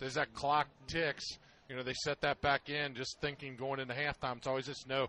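Dry and close with no echo, a man's fairly high, bright, sharp voice moves at a fairly quick pace in a monotone, flat delivery. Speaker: football color analyst. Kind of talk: live football commentary. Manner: measured, conversational analyst.

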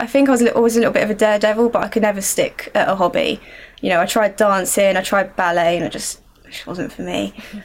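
Fairly high female voice with ordinary pitch variation and a southern English accent. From Surrey, southern England. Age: 20s. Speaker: racing driver. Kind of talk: interview answers.

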